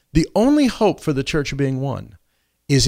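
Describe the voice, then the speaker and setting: On a very clean recording with a silent background, a man with a plain, everyday voice speaks at a moderate pace and a fairly high pitch. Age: 60s. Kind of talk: casual chat. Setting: studio.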